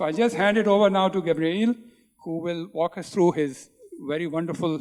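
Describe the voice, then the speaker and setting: A man's high voice at a fairly quick pace, with lively intonation and big swings in loudness, over music in the background. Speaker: panel moderator. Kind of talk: panel introduction. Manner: standing while speaking.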